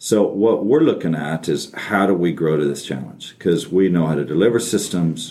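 Speaking at a moderate pace with an American accent, a man uses a very deep, low pitch, a dark, mellow tone and vocal fry. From Texas. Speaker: tech company chief executive. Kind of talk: interview. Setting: studio.

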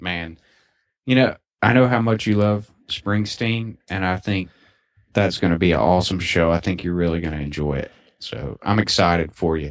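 Against a quiet background, a man with a Southern US accent talks in a very deep, low voice. His pace is moderate and his pitch variation ordinary. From Alabama. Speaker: podcast co-host. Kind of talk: casual chat.

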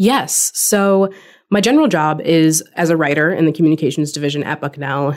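With an American accent, a woman speaks in an unremarkable speaking voice that is fairly low in pitch and shows ordinary pitch variation. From California. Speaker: university writer and podcast host. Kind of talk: casual podcast conversation.

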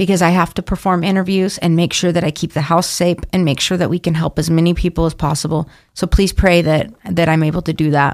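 With an American accent, a woman talks at a very fast pace, her fairly low pitch held at very even loudness. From Idaho, Boise. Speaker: addiction recovery program intake coordinator. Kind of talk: interview. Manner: animated.

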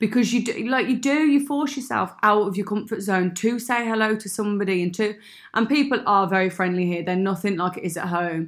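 Hardly pausing, a woman with a Brummie accent talks at a fairly quick pace and medium pitch with ordinary pitch variation, on a very clean recording with a silent background. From Birmingham, England. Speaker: expat friend. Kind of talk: casual chat. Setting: makeshift home studio.

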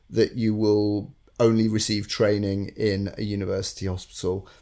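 A man speaks with a northern English accent and a dark, mellow tone. His pitch is fairly low, and the recording is very clean with a silent background. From northern England. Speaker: recruitment consultant podcast co-host. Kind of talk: casual chat.

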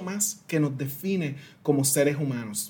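With a Puerto Rican accent, a man talks in a dark, mellow tone with lively intonation. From Puerto Rico (San Sebastián). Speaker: diversity consultant and speaker. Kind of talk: interview.

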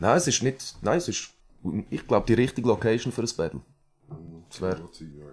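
A man with an Aargau accent speaks at medium pitch with vocal fry, very wide pitch swings, big swings in loudness, and long, frequent pauses. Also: fairly quick pace. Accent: Aargau Swiss German dialect. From Switzerland, Aargau. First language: Swiss German (speaking German). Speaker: rapper. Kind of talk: casual chat.

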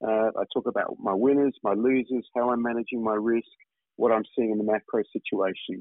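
Fairly quick speech from a man, fairly low in pitch with fairly even intonation and a dry, close sound with no echo

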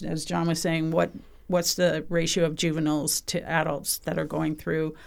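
A woman's very deep, low voice with vocal fry, at a moderate pace, in a very clean recording with a silent background. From British Columbia, Canada. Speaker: museum bird researcher. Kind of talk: casual chat.

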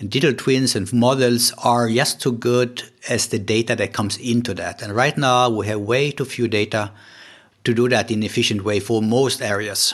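A man's medium-pitched voice with a Swedish accent, fairly even intonation and a moderate pace. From Sweden. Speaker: oceanographer. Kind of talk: interview. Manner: halting.

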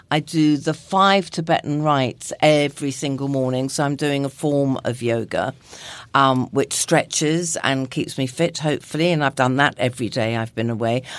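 A woman's very deep, low-pitched voice at a moderate pace with ordinary pitch variation. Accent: southern English. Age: 60s. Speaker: nutritionist and lifestyle blogger. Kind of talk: casual interview chat.

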